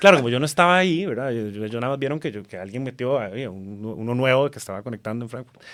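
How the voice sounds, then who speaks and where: A man at medium pitch, very fast with hardly any pauses, lively intonation and big swings in loudness, on a very clean recording with a silent background. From Costa Rica. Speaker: TV journalist. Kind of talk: casual chat.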